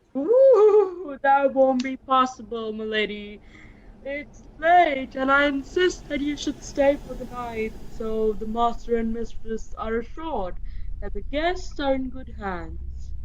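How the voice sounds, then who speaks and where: A woman puts on a guttural character voice pitched high. She speaks at a fairly slow pace. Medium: audio drama.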